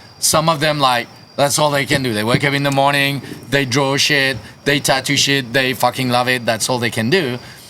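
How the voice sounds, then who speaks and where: Over noticeable background noise, a man with a French accent speaks at a moderate pace, his medium pitch kept in fairly even intonation. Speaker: punk band musician. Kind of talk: casual chat. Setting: studio. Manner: halting.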